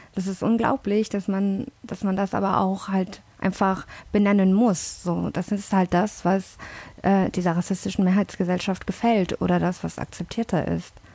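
A woman speaks at a moderate pace and medium pitch, somewhat breathy, with monotone, flat intonation. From born in London, Indian family. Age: 30s. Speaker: language teacher. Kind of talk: casual chat.

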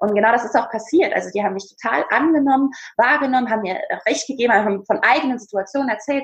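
A woman with a high pitch talks at a very fast pace with ordinary pitch variation. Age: 20s. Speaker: speaker and presence coach, former dance teacher. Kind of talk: casual interview.

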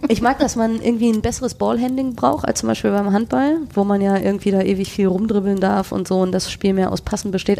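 The pitch moves in an ordinary way at a fairly quick pace. Noticeable background noise runs underneath. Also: woman. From Germany, edge of the Ruhr area / Sauerland. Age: 30s. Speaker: university staff, podcaster. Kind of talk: casual interview chat.

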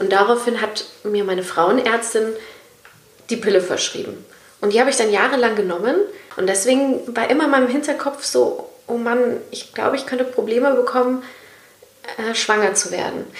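Through noticeable background noise and audible room echo, a woman speaks at a moderate pace and fairly high pitch, with ordinary pitch variation and long, frequent pauses. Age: 30s. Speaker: podcast host, radio presenter. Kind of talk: casual chat.

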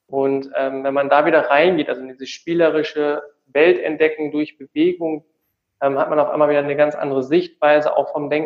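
A man speaks at a fairly quick pace. His fairly high voice has a monotone, flat intonation. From North Rhine-Westphalia, Tecklenburg. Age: 20s. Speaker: physiotherapist. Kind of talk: interview.

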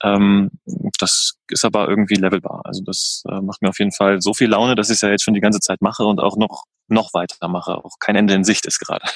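A man rattles along at a very fast pace, fairly low in pitch with monotone, flat intonation. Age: 30s. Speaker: van lifer, event organizer. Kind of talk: casual interview chat.

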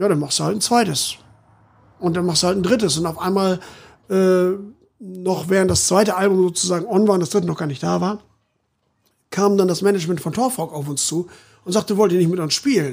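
A fairly quick pace with ordinary pitch variation. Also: man. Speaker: rock band frontman. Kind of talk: casual interview chat.

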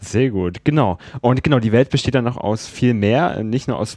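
A man's medium-pitched voice with a dark, mellow tone, ordinary pitch variation and a moderate pace. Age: young. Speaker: student podcast host. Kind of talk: casual interview. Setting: at guest's place.

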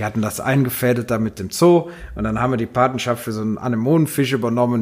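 A man talks at a very fast pace, with ordinary pitch variation. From Rhineland, Hennef. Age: 40s. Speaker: carnival club vice-chairman. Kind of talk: casual chat.

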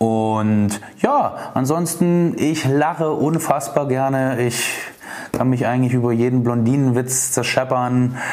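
Amid noticeable background noise and audible room echo, a man speaks at a very slow pace, medium in pitch with fairly even intonation. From Dresden, Saxony, eastern Germany. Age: 30s. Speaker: insurance broker. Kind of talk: podcast self-introduction monologue. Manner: hesitant with many filler sounds.

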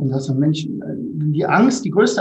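Audible room echo surrounds speech that proceeds fairly slowly. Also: man. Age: 60s. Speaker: teacher and academy founder. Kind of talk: interview.

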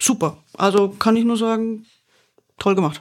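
In a plain, everyday voice, a woman talks at a moderate pace. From Bavaria. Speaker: podcast host reviewing corporate podcasts. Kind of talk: casual chat.

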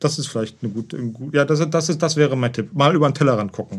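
Speaking with ordinary pitch variation, a man uses a fairly high pitch. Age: 40s. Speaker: host's partner. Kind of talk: casual conversation. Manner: halting, repeats words.

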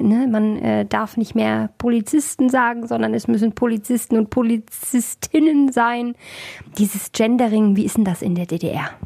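At a fairly slow pace, a woman with a fairly high pitch speaks in a somewhat breathy voice with a dark, mellow tone. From East Germany. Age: 30s. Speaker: radio host. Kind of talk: radio interview.

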